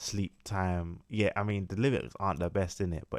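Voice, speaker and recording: A man speaks at a moderate pace in a very deep, low voice, recorded very cleanly against a silent background. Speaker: rapper and music YouTuber. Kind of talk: tutorial.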